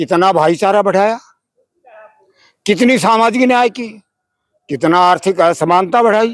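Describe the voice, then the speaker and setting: A man speaks at a high pitch with ordinary pitch variation. He leaves long, frequent pauses. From Rajasthan, India. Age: 90s. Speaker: elderly activist. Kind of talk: street interview.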